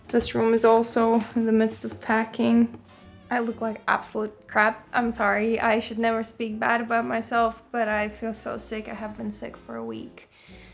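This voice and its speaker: A woman with a Latvian accent at a moderate pace, big swings in loudness, music in the background. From Latvia, Riga. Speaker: musician and music producer. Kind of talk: casual vlog talk.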